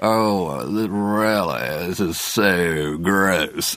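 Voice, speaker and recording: A man puts on a character voice, very deep and low in pitch, creaky and bored in tone. Light background noise can be heard. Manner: bored, disgusted.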